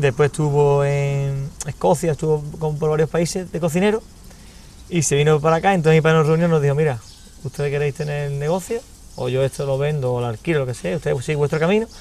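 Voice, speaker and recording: A man's fairly high voice at a very fast pace, ordinary pitch variation, dry sound with no echo. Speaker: restaurant owner. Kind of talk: interview. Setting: at a restaurant. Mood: warm, reflective. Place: garden. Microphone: lapel.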